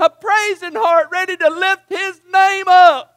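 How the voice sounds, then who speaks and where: A man's raised, projected voice at an extremely high pitch, hoarse and strained, with a bright, sharp tone and fairly even intonation. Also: dry, close sound with no echo. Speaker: preacher. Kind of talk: fervent prayer and pleading near the close of a sermon. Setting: church. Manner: impassioned, urgent, pleading; hoarse, strained delivery.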